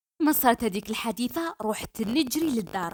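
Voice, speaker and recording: A woman with a fairly high pitch at a moderate pace, over noticeable background noise. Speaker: storyteller. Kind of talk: dramatic first-person story narration. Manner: lively, expressive.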